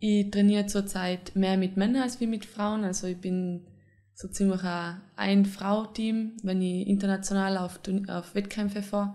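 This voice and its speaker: Her tone is dark and mellow. The woman talks at a fairly slow pace. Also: quiet background. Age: 20s. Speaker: wrestler. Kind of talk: interview. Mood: friendly, relaxed. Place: home room.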